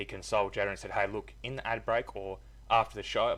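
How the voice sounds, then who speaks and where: The speaker is a man with an Australian accent. He talks at a very fast pace. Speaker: gaming youtuber commentator. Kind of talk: casual opinion vlog. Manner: hesitant, filler words.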